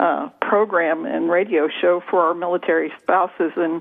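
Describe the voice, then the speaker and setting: A woman's voice at medium pitch and moderate pace, over noticeable background noise. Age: 60s. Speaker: author and trauma coach. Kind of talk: radio interview. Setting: radio show.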